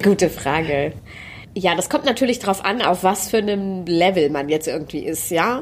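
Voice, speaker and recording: With lively intonation, a woman speaks at a medium pitch in an ordinary speaking voice. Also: moderate pace. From Germany, Hanover. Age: 30s. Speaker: poetry slam performer. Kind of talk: interview. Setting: studio.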